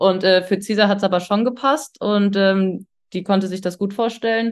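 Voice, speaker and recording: Here a woman is talking. Her voice lands at a medium pitch. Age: 30s. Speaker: engineer. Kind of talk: casual chat.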